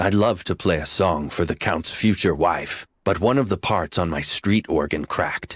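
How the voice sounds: A man does a cartoonish character voice with a very deep, low pitch and ordinary pitch variation, moving at a moderate pace with hardly any pauses. The recording is very clean and dry, with a silent background, a close sound and no echo.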